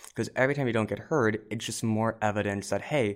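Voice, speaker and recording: A man with an unremarkable speaking voice at a medium pitch, captured in a very clean recording with a silent background. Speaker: undergraduate student reporter. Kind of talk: discussion.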